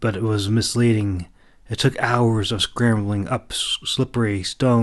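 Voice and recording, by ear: A natural voice reading aloud, intonation fairly even throughout.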